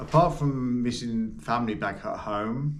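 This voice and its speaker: A man speaks at a fairly slow pace with an English accent. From Birmingham, England. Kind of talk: interview answer.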